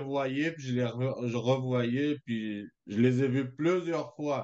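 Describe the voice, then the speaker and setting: The speech moves at a very slow pace. The intonation stays fairly even. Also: man. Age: 40s. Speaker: small business owner, coaching client. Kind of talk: testimony. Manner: halting, many fillers.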